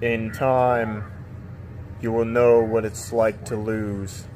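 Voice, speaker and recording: A man's put-on character voice at medium pitch, very slow pace, clear background noise. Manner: menacing, grand.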